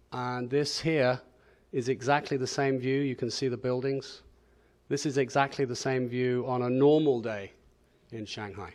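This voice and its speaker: A man in a New Zealand accent speaks at a moderate pace with fairly even intonation and long, frequent pauses, against a quiet background. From northern New Zealand. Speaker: pharmaceutical executive. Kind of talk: conference presentation. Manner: hesitant, many fillers.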